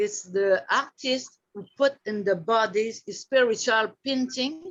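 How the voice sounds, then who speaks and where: A woman speaks in a French accent at a fairly high pitch. Her pitch varies in an ordinary way. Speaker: artist and body painting model. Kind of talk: casual chat. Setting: video call. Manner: halting.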